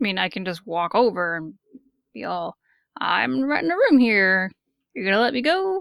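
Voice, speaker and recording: A woman's put-on character voice at a medium pitch and moderate pace, with long, frequent pauses. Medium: actual play.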